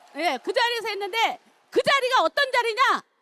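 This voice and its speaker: A woman uses a raised, projected voice. Her intonation is lively. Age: 60s. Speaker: network marketing business leader. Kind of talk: seminar talk, personal success testimony.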